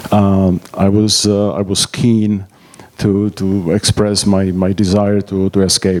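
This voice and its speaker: A very slow, monotone, flat man's voice at a fairly low pitch with a Czech accent and very even loudness, over noticeable background noise. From Czechoslovakia. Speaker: emigre telling escape story. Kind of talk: public talk. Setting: stage with audience. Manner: halting.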